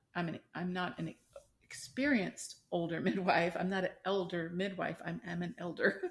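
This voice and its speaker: A woman with an unremarkable speaking voice, a medium pitch, ordinary pitch variation and a moderate pace. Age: 60s. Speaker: midwife. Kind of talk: interview conversation.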